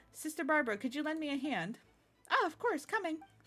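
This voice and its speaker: A female-sounding voice puts on a character voice at high pitch and a very fast pace. Music plays in the background. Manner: polite, sweet.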